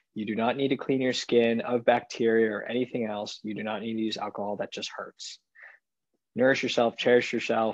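With an American accent, a man speaks at a fairly quick pace and a medium pitch. His intonation is monotone and flat, and the background is quiet. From San Francisco, US. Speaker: dermatologist, podcast co-host. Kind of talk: casual chat.

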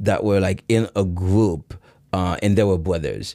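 In a Haitian accent, a man speaks at a fairly slow pace in a fairly low voice with a dark, mellow tone, on a very clean recording with a silent background. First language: Haitian Creole. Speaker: breakdancer and fitness trainer. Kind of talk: casual chat. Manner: hesitant with many fillers.

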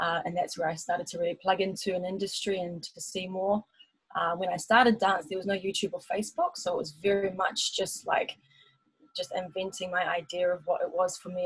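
A woman speaks with music in the background. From New Zealand (Taupo). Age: 30s. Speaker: dancer and singer. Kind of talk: casual chat.

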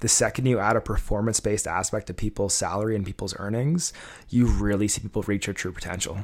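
A man with an ordinary speaking voice is heard on a very clean recording with a silent background. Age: 20s. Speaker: podcast co-host, business owner. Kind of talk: casual chat.

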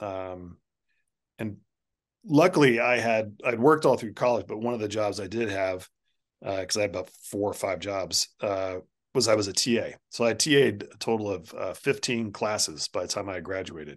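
A plain, everyday voice moves at a moderate pace with ordinary pitch variation over a quiet background. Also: man, fairly low pitch for a man. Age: 50s. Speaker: artist and art educator. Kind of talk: casual chat.

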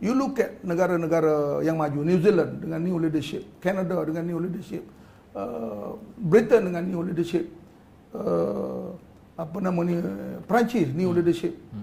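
Speaking at a fairly slow pace, a man with a high pitch and lively intonation is heard in a room with audible echo. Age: 60s. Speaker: politician. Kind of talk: talk show interview. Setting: studio.

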